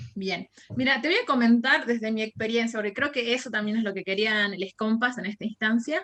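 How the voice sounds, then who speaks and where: With a plain, everyday voice, a woman talks at a fairly quick pace and a fairly high pitch, using ordinary pitch variation. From Argentina, Jujuy (northwest). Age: 20s. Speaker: university lecturer and anti-racism activist. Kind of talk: podcast interview.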